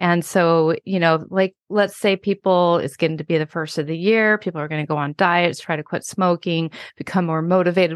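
In an American accent, a woman talks at a moderate pace and fairly low pitch with fairly even intonation, a plain, everyday voice. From Washington State. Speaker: hypnotherapist and author. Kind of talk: interview.

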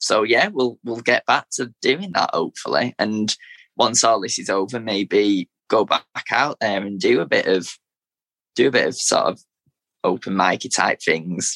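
A man in a Manchester accent speaks at a fairly slow pace, with a dry, close sound and no echo. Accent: Mancunian, Manchester. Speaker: teacher and spoken word poet. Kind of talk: interview, poetry reading.

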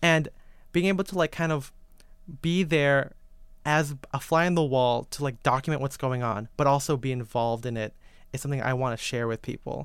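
A man's plain, everyday voice with an American accent, fairly high in pitch with ordinary pitch variation, at a fairly quick pace in a very clean recording with a silent background. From Filipino-Chinese family, US. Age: 20s. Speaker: menswear writer and photographer. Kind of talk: casual chat.

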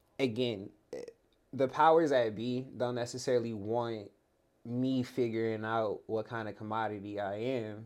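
Speaking at a moderate pace, this man has a Californian accent and a medium pitch. His intonation stays fairly even. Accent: Californian American English. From Los Angeles, San Fernando Valley. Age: 30s. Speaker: former pro basketball player. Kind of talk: casual interview chat. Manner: halting, many repeated words.

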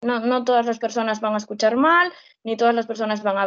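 An unremarkable speaking voice with ordinary pitch variation. The background is quiet. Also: woman. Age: 20s. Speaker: social educator. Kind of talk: casual interview.

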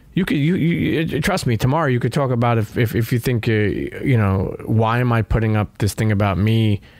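This man speaks in a New York accent at a fairly quick pace, with hardly any pauses, lively intonation, medium pitch and very even loudness. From New York, Brooklyn. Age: 40s. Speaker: podcaster and former sneaker seller. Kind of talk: casual chat. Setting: studio. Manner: halting.

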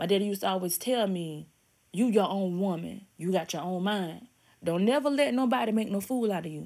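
In a very clean recording with a silent background, a woman speaks in a normal speaking voice at medium pitch with ordinary pitch variation. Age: 30s. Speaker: podcast host. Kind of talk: motivational monologue. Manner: casual, conversational.

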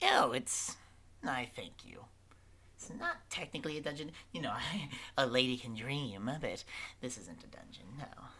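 A man speaks at a moderate pace in a put-on character voice of medium pitch, with long, frequent pauses. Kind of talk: comic overacting. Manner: sweet, doting hostess with a sharp edge.

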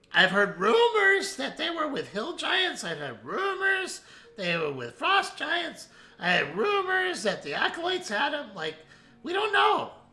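A man's put-on character voice, squeaky and strained, pitched extremely high for a man, at a moderate pace. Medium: actual play. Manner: rambling, filler-heavy.

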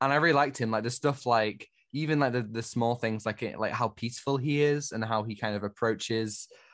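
A man's normal speaking voice at a medium pitch, fairly quick in pace with ordinary pitch variation, against a quiet background. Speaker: podcast host. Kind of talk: casual chat.

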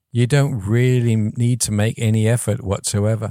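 Dry and close with no echo, a man's medium-pitched voice carries a dark, mellow tone and a slight English accent at a moderate pace. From England. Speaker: audio software founder. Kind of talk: casual interview. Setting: video call.

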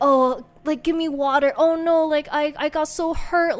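A woman's whiny, high-pitched put-on character voice with a whiny tone, fairly even intonation and a moderate pace. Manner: mocking, whiny, overdramatic.

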